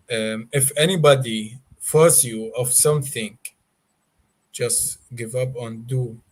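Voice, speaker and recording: Very slow, somewhat breathy speech in a non-native accent. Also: man. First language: not English. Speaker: Mandaean guest explaining his religion. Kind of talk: interview. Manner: relaxed; halting, many fillers.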